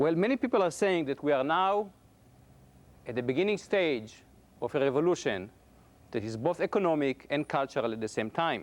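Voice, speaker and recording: Fairly high in pitch, a man talks at a fairly quick pace with very wide pitch swings and long, frequent pauses. The recording is very clean, with a silent background. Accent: Israeli. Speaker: computer science professor. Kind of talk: public lecture.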